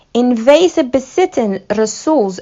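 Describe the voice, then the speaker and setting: Ordinary pitch variation marks the speech of a woman with a non-native accent. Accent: non-native Dutch, rustic. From Somali background. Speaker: religious content creator. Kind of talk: scripted narration.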